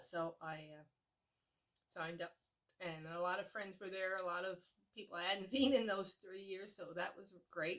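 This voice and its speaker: Speaking at medium pitch and a moderate pace, a woman keeps a fairly even intonation and leaves long, frequent pauses. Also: big swings in loudness. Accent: Newfoundland. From Newfoundland, Canada. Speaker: cross-stitch vlogger. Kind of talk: casual chat. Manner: chatty with fillers.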